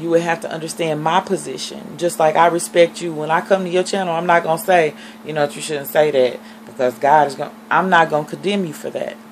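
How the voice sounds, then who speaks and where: Pitch varies in an ordinary way against noticeable background noise. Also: woman. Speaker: vlogger, reborn doll collector. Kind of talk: casual vlog monologue. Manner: fast.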